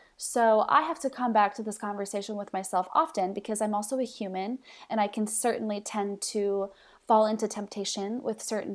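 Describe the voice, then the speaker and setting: Here is a plain, everyday voice with an American accent, moving at a fairly quick pace with fairly even intonation. The recording is very clean, with a silent background. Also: woman. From Mexico City, raised by US missionary parents. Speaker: social media ministry leader. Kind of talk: faith podcast conversation.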